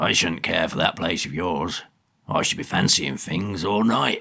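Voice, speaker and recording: A man puts on a raspy character voice with a very deep, low pitch. He talks at a moderate pace. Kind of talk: rustic country dialect. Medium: read story. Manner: blunt, gossipy.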